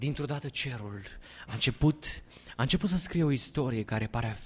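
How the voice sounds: The clip features a natural reading voice throughout.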